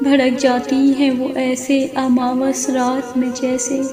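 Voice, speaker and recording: Over noticeable background noise, a woman speaks with a high pitch. Her intonation is monotone and flat, with a sad tone. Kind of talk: poetry reading. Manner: sad, emotional.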